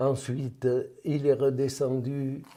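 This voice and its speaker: A man talks at a very slow pace in a medium pitch. His tone is dark and mellow. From France, Cantal / Lot (Auvergne-Quercy). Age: 90s. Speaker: war veteran. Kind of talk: interview testimony.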